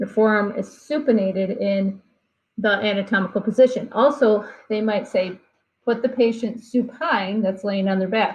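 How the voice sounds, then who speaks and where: Her voice is somewhat breathy, and her pitch is fairly high with ordinary variation. The woman speaks at a moderate pace. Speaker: anatomy instructor. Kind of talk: lecture.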